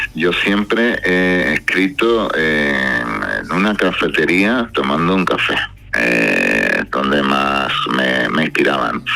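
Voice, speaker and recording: A man with a Spanish accent and a very deep, low pitch speaks at a very slow pace with very wide pitch swings and very even loudness, over noticeable background noise. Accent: Spanish, slightly diluted by deep voice. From Spain, Cádiz. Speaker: singer-songwriter. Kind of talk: radio interview.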